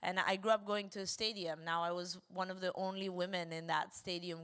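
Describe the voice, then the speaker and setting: A woman at a fairly low pitch with an Argentine accent, moderate pace, on a very clean recording with a silent background. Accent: Argentinian. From Argentina. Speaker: women's football club founder. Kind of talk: panel discussion.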